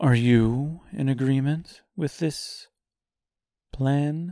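A man's put-on character voice, fairly high-pitched, very slow and fairly even in intonation. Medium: read story. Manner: quiet, firm.

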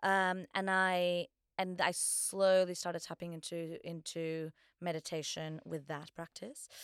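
A woman speaks at a fairly slow pace in a fairly low, flat monotone. The sound is dry and close with no echo, the recording very clean against a silent background. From Portugal. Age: 30s. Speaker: theatre director. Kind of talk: casual interview chat.

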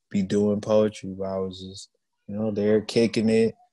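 With an American accent, a man speaks in a dark, mellow tone at a fairly low pitch, monotone and flat. The background is quiet. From US Midwest, Milwaukee, Wisconsin. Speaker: hip hop artist. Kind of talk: casual chat.

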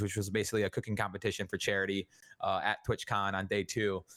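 A man speaks with a bright, sharp tone. The recording is very clean, with a silent background. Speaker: streamer and podcast co-host. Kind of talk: casual chat. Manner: stumbling over words.

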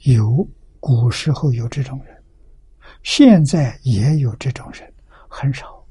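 Very slow and full of long, frequent pauses, the speech has a dark, mellow, somewhat breathy tone, big swings in loudness and ordinary pitch variation. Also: man, medium pitch for a man. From rural China. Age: 80s+. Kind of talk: sutra lecture. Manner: frequent filler 'ah' interjections.

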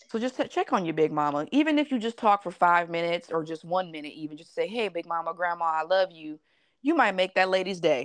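At a very fast pace, a woman with a fairly low pitch speaks with lively intonation and big swings in loudness. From Las Vegas. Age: 20s. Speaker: podcast co-host. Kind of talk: casual chat.

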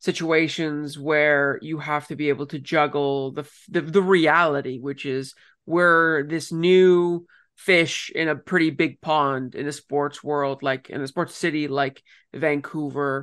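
A man with a Canadian accent, a fairly high pitch, a bright, sharp tone, and monotone, flat intonation, at a very slow pace against a quiet background. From Ontario, Canada. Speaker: soccer podcast host and journalist. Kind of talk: casual chat and interviews.

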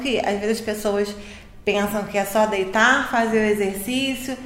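Fairly even intonation at a fairly slow pace, with noticeable background noise and audible room echo. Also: woman. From Niterói, Brazil. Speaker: physiotherapist. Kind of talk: casual health podcast interview.

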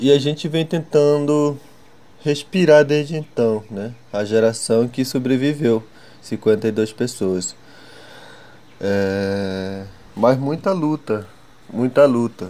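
A dark, mellow tone at a very slow pace, with lively intonation and long, frequent pauses. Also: man, medium pitch for a man. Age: 20s. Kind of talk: testimony. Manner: halting.

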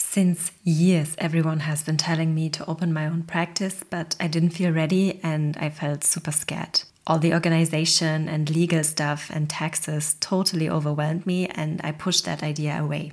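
Over noticeable background noise, a woman with a very deep, low pitch speaks in a flat monotone at a moderate pace with hardly any pauses. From Germany, Polish immigrant family. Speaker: osteopath and burnout coach, podcast host. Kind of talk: solo podcast monologue. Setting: recording alone at home.

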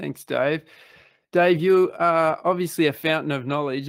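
A man talks at a moderate pace with fairly even intonation on a very clean recording with a silent background. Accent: Australian. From Australia. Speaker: podcast host. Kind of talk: interview.

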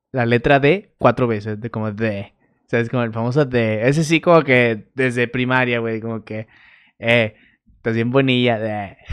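A man speaks at a moderate pace with a medium pitch. The background is quiet. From Mexico, Torreón. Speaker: podcast host. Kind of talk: casual monologue. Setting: bedroom home recording on camera. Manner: animated.

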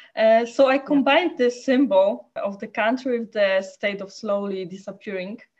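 A woman with a Polish accent speaks at a moderate pace in a fairly high pitch, her loudness swinging widely, her pitch varying in an ordinary way, and her speech running on with hardly any pauses. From Poland. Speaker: photojournalist. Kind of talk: interview. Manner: halting.

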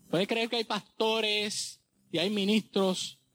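A man talks at a fairly slow pace with fairly even intonation in a very clean recording with a silent background, dry and close with no echo. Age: 40s. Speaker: pastor. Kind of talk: sermon. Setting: church.

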